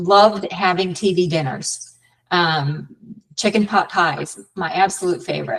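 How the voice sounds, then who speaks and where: A woman's medium-pitched voice with vocal fry and fairly even intonation at a fairly slow pace. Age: 60s. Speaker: weight-loss story guest. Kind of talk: interview testimony.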